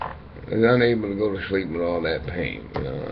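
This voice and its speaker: Amid noticeable background noise and audible room echo, a man talks at a fairly low pitch. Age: 60s. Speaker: dialysis patient vlogger. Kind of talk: casual monologue. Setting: webcam recording. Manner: halting.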